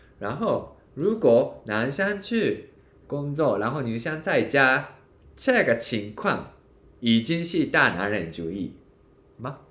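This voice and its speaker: Very slowly, a man with a Japanese accent speaks at a fairly high pitch with vocal fry and very wide pitch swings. Room echo is audible. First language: Japanese (speaking Chinese). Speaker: podcast co-host. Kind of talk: casual chat.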